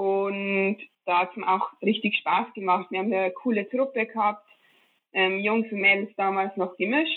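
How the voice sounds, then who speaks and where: She has an unremarkable speaking voice at medium pitch. Her pace is moderate, with ordinary pitch variation. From Bavaria, Traunstein area. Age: 20s. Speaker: professional biathlete. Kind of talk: interview.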